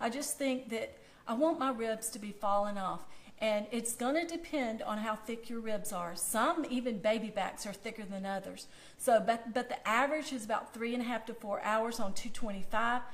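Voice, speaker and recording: With a Southern US accent, a woman speaks at a fairly high pitch and moderate pace with ordinary pitch variation, amid noticeable background noise and audible room echo. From US South. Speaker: food blogger. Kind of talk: cooking demonstration. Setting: Facebook Live video. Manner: casual, chatty.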